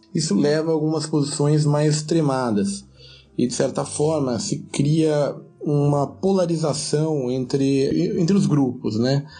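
A man speaks at a fairly slow pace with a fairly high pitch and ordinary pitch variation. His loudness stays very even, with music in the background. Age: 30s. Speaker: immigrant worker. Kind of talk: recorded commentary.

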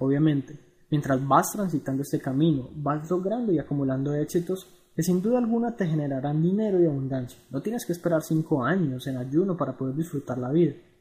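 A man with a fairly high pitch speaks at a fairly quick pace, his tone dark and mellow and somewhat breathy, with ordinary pitch variation. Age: 20s. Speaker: blogger on personal finance. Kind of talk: reading aloud a blog article.

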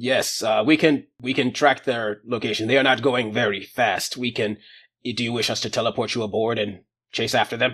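On a very clean recording with a silent background, a man does a put-on character voice at a medium pitch. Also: moderate pace. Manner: monotone.

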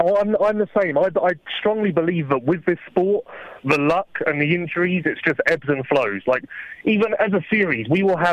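Speaking at a fairly quick pace in an English accent, a man with a high voice shows ordinary pitch variation in a dry, close sound with no echo. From England. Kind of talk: casual chat. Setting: phone call.

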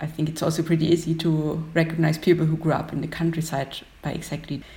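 This woman speaks with a German accent in a very deep, low voice. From Austria, Upper Austria. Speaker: graphic designer. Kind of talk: casual chat. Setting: video call.

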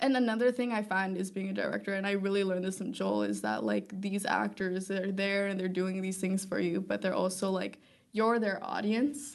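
A woman with a normal speaking voice talks at a fairly quick pace and a medium pitch, with fairly even intonation and hardly any pauses. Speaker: film student and filmmaker. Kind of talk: casual interview chat. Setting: live-streamed podcast recording.

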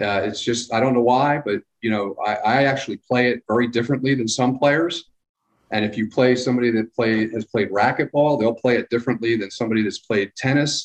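A man with an American accent has an ordinary speaking voice at a medium pitch. He talks at a fairly quick pace with fairly even intonation, and the sound is dry and close with no echo. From Philadelphia / New Jersey area. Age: 50s. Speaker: local government public works director. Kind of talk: casual interview.

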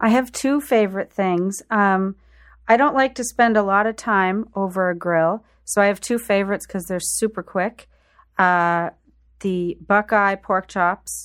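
On a very clean recording with a silent background, a woman with an unremarkable speaking voice talks at a fairly slow pace and medium pitch, with ordinary pitch variation. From Prince Edward Island, Canada. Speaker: food writer and event host. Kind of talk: radio interview. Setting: radio studio.

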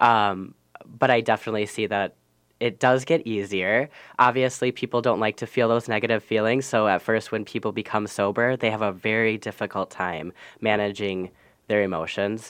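Against a quiet background, a man talks at a moderate pace in a fairly low pitch. His intonation is fairly even, and he has an unremarkable speaking voice. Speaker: alcohol and drug counselor. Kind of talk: radio interview.

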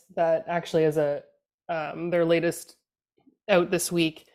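In a Canadian accent, a woman speaks at a fairly low pitch and a fairly slow pace with an ordinary speaking voice. The recording is very clean with a silent background. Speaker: political communications consultant. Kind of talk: casual panel discussion.

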